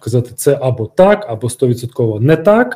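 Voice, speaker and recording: This man's voice is somewhat breathy. His tone is dark and mellow. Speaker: former security service officer, security expert. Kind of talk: interview. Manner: halting, with filler sounds.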